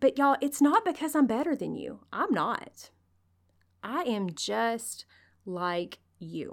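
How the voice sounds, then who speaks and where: A woman speaks at a very slow pace with long, frequent pauses and vocal fry. Her fairly high pitch swings very widely, and her loudness shifts a lot. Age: 40s. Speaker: podcast host and nurse-midwife. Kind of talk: motivational solo podcast talk. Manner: animated.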